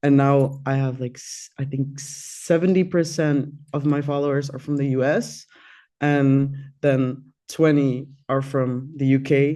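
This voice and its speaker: In a Dutch accent, a man speaks at a fairly slow pace. His dark, mellow tone stays monotone and flat. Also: fairly high pitch for a man. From Netherlands, Amsterdam. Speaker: singer. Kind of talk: interview. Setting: radio studio.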